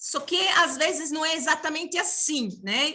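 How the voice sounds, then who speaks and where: A woman uses a raised, projected voice with a high pitch. Her bright, sharp tone moves at a fairly slow pace. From outside Brazil. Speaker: university professor and union director. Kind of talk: panel opening remarks. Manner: halting, many fillers.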